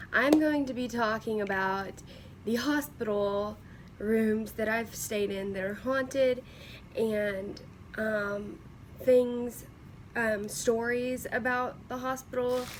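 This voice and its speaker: A woman's fairly high voice in a Southern US accent, very slow, with long, frequent pauses and fairly even intonation. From Kentucky, USA. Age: young. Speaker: vlogger living with cystic fibrosis. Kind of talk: casual story time to camera.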